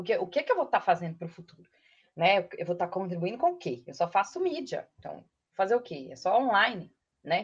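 A woman with a Minas Gerais accent talks at a fairly quick pace in a medium pitch, sounding somewhat breathy. Her pitch swings are very wide, and her loudness swings a lot too. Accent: Minas Gerais (mineiro) accent, kept. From interior of Minas Gerais, Brazil (Matozinhos). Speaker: advertising professional. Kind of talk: casual chat.

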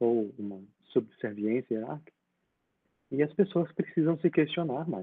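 At a moderate pace broken by long, frequent pauses, a man's fairly high voice makes very wide pitch swings. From Brazil, Espírito Santo (Linhares). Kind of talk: casual interview conversation.

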